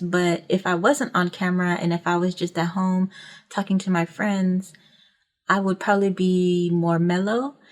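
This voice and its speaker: Very clean recording, silent background. A woman talks at a fairly slow pace with fairly even intonation. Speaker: YouTube branding coach. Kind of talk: tutorial. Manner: monotone; projecting.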